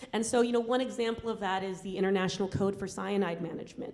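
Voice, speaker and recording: Here a woman talks at a fairly quick pace. Audible room echo surrounds her voice. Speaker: environmental justice activist. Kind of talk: Q&A talk after film screening. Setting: university screening with audience. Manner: fast; hesitant, many fillers.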